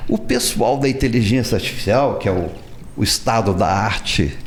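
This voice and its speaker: A man speaks at a moderate pace and medium pitch. His pitch varies in an ordinary way over noticeable background noise. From Minas Gerais, Brazil. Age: 70s. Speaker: writer. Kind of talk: interview answer.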